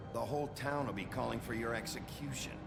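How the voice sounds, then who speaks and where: A man's put-on character voice at a very fast pace over loud background noise. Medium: game stream. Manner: gruff, blunt.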